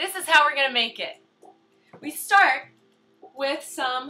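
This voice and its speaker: Over music in the background, a woman uses a raised, projected voice with lively intonation. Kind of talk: cooking demonstration to camera. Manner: slow, loud; playful, silly.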